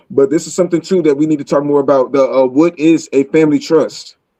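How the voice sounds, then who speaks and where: The tone is dark and mellow, at a very fast pace. The sound is dry and close, with no echo. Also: man. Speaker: livestream host. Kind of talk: casual chat.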